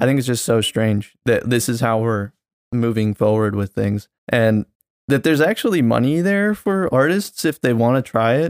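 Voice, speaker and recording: A man with a plain, everyday voice speaks at medium pitch and a moderate pace, his intonation lively and his loudness very even, in a dry, close sound with no echo on a very clean recording with a silent background. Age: 20s. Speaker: podcast co-host and photographer. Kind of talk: casual chat.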